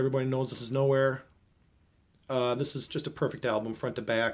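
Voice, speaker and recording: His voice at a medium pitch, a man speaks in a monotone, flat way. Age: 40s. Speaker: vinyl record collector. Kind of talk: casual talk to camera.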